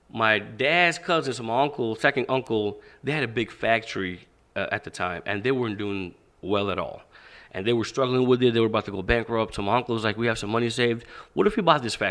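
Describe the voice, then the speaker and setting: A man with a medium-pitched voice talks at a very fast pace, his pitch varying in an ordinary way. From Pakistan. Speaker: boxing and fitness coach. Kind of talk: podcast interview, life story. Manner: animated, enthusiastic.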